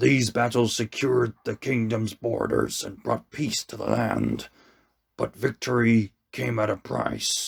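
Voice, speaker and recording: Using a raspy, put-on character voice, a man talks fairly slowly at a medium pitch. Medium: read story. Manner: solemn, measured, commanding.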